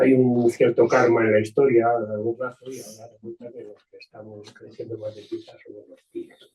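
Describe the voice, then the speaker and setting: Somewhat breathy and flat in a monotone, a man speaks at a medium pitch and a fairly quick pace, his loudness swinging widely. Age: 70s. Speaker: audience member at a debate. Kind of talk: panel discussion. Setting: meeting room with audience. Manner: halting. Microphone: too quiet.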